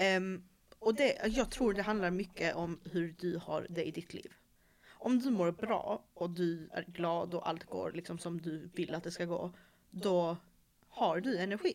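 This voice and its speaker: Using an ordinary speaking voice, a woman talks at a fairly slow pace and a fairly low pitch with ordinary pitch variation. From Malmö, Sweden. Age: 20s. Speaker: podcast host. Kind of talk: casual chat.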